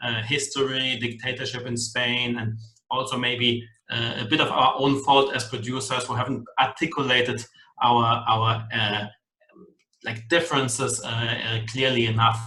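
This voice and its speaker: A man with a German accent in a flat monotone, with audible room echo. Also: medium pitch for a man, moderate pace. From German background, Spanish national. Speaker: wine producer, master of wine. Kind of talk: online wine masterclass presentation. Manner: hesitant, many fillers.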